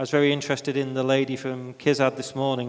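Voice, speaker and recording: Very fast, flat, monotone speech in a British accent. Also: man. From UK. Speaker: free zone executive. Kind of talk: panel discussion.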